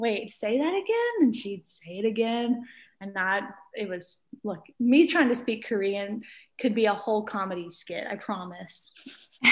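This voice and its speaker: Speaking at a fairly slow pace in a Mississippi accent, a woman with a fairly high pitch sounds somewhat breathy, with ordinary pitch variation and big swings in loudness. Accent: Southern US (Mississippi). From US South, rural Mississippi. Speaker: piano teacher. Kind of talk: casual chat.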